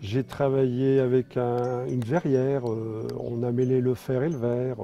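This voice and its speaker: Noticeable background noise runs behind this clip. A man speaks at medium pitch with ordinary pitch variation. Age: 60s. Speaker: sculptor. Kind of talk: interview. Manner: halting, many hesitations.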